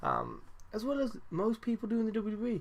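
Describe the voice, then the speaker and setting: A quiet voice with a British accent and audible room echo. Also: man. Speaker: wrestling podcast host. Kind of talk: casual review monologue. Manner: talking quietly; animated.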